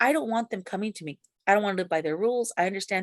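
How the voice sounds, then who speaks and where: A woman with an American accent at medium pitch, in a dry, close sound with no echo. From US, grew up in city housing projects. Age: 60s. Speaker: ex-Jehovah's Witness sharing her story. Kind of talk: interview testimony. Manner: halting, many fillers and restarts.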